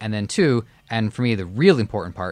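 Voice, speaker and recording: A man with an ordinary speaking voice talks at a fairly quick pace in a fairly low pitch, with ordinary pitch variation, on a very clean recording with a silent background. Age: 20s. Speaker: podcast producer. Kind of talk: casual chat.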